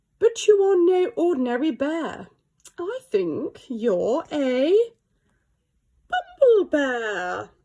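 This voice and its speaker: Using a put-on character voice, a woman speaks at a high pitch and very slow pace, with very wide pitch swings and long, frequent pauses. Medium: read story.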